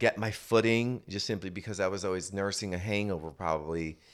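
This man has a plain, everyday voice with ordinary pitch variation at a moderate pace. The recording is very clean, with a silent background. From New Jersey (Paterson), Puerto Rican family. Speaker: recovery center founder, former dancer. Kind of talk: casual interview.

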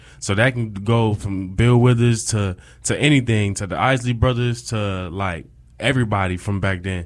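A man speaks at a moderate pace with a fairly low pitch and an ordinary speaking voice, recorded very cleanly against a silent background. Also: ordinary pitch variation. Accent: American. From upstate New York (Rochester). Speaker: college student and campus DJ. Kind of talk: casual interview.

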